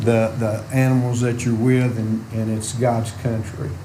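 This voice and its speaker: A man with an Arkansas accent delivers monotone, flat speech at a medium pitch and a moderate pace, with audible room echo and noticeable background noise. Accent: US Southern (Arkansas). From Arkansas (Lynn). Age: 60s. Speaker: farmer. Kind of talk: public comment at meeting. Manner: halting, many fillers.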